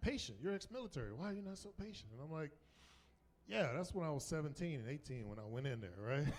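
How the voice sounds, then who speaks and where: With an American accent, a man speaks at a medium pitch with very wide pitch swings. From US South, North Carolina. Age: 50s. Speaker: comedian. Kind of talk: stand-up. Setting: stage with audience. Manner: animated.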